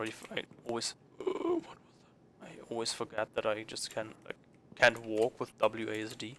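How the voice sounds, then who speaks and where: Noticeable background noise accompanies a fairly quick pace broken by long, frequent pauses. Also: man. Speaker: let's play gamer. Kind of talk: gaming commentary with reading game text aloud. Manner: halting.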